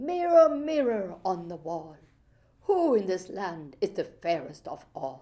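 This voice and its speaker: Putting on a character voice, a woman at a medium pitch speaks fairly slowly with very wide pitch swings. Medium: read story. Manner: cunning, coaxing.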